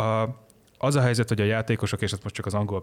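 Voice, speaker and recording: Fairly low male speech, very clean recording, silent background. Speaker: online journalist. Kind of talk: casual chat.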